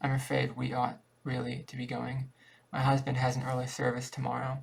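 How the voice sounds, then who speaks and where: A man's raspy, put-on character voice at a medium pitch and a fairly quick pace. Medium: read story. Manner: timid, wavering.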